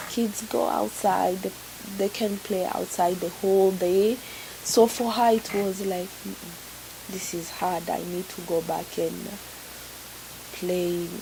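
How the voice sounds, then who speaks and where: A woman talks at a very slow pace in a medium pitch with fairly even intonation, with noticeable background noise behind her. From Congo, later Burundi and Kenya. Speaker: refugee. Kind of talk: personal testimony interview. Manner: repetitive, halting.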